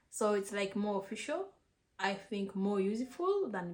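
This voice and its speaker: This woman has a medium pitch. Her voice is somewhat breathy. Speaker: vlogger. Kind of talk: casual advice vlog. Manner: halting with repetitions.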